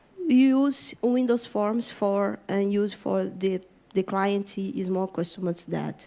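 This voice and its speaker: The speaker talks in a Brazilian accent at a very slow pace with fairly even intonation. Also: woman. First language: Portuguese. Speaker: software engineer. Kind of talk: conference talk. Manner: halting, many fillers.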